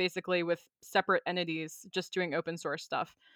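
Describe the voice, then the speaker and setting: A woman with an American accent talks at a fairly quick pace in a normal speaking voice. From Maryland, US. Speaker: software engineer. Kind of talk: casual interview chat.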